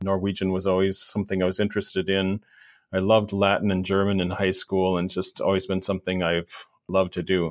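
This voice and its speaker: The man's intonation is monotone and flat. He moves along at a fairly quick pace. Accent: American. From US Midwest, rural southwest Wisconsin. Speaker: professor of religious studies. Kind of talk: interview on church history.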